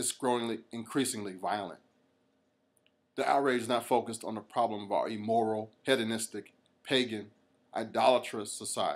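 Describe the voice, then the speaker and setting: A man's medium-pitched voice with an American accent, monotone and flat, at a moderate pace with long, frequent pauses, in a very clean recording with a silent background. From United States. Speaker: reverend, gun rights activist. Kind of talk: podcast commentary.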